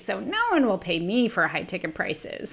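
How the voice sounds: Putting on a whiny character voice, a woman speaks at a moderate pace.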